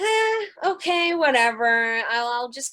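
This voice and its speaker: A woman speaks with ordinary pitch variation. The recording is very clean, the background silent. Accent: slight Russian. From Russia. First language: Russian. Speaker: rock band singer. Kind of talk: interview. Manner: loud.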